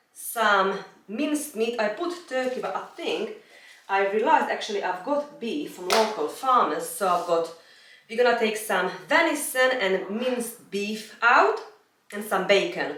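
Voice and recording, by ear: In a room with strong echo, a woman speaks at a fairly slow pace and medium pitch, her fairly bright tone carrying lively intonation. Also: few pauses.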